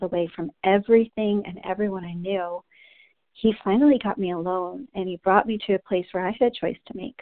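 Using an ordinary speaking voice, a woman with an American accent talks at a medium pitch and a moderate pace, with ordinary pitch variation. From New Jersey. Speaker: women's ministry leader. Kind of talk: devotional teaching. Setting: conference call. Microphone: line initially inaudible, feedback.

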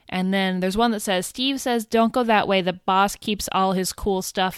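Fairly even intonation in plain reading aloud

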